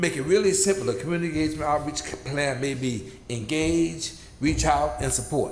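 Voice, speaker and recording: A man at a fairly quick pace with ordinary pitch variation, noticeable background noise and audible room echo. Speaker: community advisory board member. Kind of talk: public meeting report. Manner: halting, repetitive.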